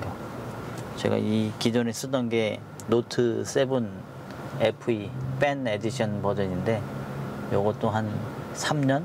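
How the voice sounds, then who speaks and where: Over noticeable background noise, a man speaks very slowly with ordinary pitch variation, the sound dry and free of echo. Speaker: taxi driver vlogger. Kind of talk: casual vlog chat. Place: car. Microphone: lapel.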